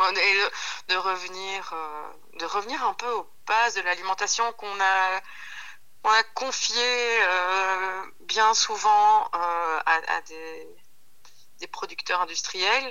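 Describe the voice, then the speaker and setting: At a very slow pace with long, frequent pauses, a woman speaks at a medium pitch. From Belgium, Centre region (Hainaut). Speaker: pasta maker and lecturer. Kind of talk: casual interview. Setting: phone call. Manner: halting, many repetitions.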